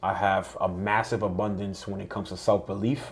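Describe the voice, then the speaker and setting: A man's fairly low voice at a fairly quick pace, with fairly even intonation and a slight Dominican accent. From Dominican Republic, then New York. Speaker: entrepreneur. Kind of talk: podcast interview.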